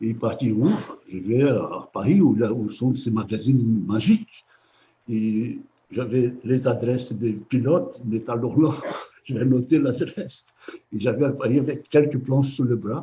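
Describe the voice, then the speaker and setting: At a medium pitch and with ordinary pitch variation, a man speaks in a somewhat breathy voice. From Brazil (São Paulo). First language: Portuguese (speaking French). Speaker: comic book artist. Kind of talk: interview. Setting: live stream from an art gallery. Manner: halting.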